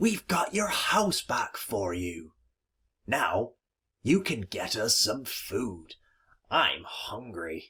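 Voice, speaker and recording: Putting on a raspy character voice, a man speaks at a medium pitch and a very slow pace, with long, frequent pauses. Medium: read story. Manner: firm, commanding.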